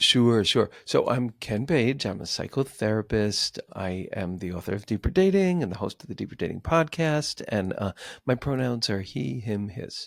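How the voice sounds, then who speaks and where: In an American accent, a man talks with very wide pitch swings and hardly any pauses, recorded very cleanly against a silent background in a dry, close sound with no echo. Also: medium pitch for a man, moderate pace. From New York City. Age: 60s. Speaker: psychotherapist and author. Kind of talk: podcast interview.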